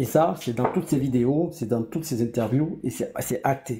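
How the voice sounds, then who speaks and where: This man has a fairly high pitch and a dark, mellow tone that is somewhat breathy. His pitch varies in an ordinary way. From Ivory Coast. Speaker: political panelist. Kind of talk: political debate. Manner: fast; hesitant, many fillers.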